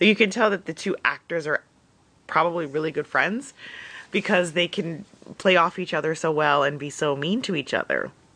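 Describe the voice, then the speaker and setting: At a moderate pace, a woman talks in a normal speaking voice with a fairly low pitch and ordinary pitch variation. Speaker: podcast co-host. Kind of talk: solo recorded recap.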